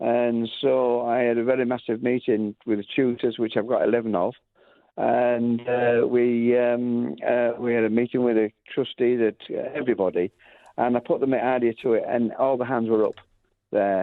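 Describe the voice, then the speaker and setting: Speaking at a moderate pace in a Lancashire accent, a man uses a medium pitch, monotone, flat intonation and very even loudness. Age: 70s. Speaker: music school founder. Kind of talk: radio interview. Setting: radio interview. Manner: halting.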